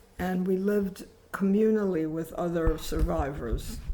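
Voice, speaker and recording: At a very slow pace, a woman speaks with medium pitch and fairly even intonation, with audible room echo around her. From New York, US (emigrated from Poland at eight). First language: Polish. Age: 80s+. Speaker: author and activist. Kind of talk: interview.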